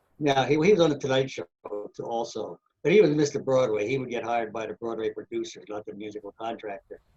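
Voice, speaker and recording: A man speaks at a very fast pace in a medium pitch, somewhat breathy. The sound is dry and close, with no echo. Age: 80s+. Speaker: professional trumpet player. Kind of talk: interview storytelling.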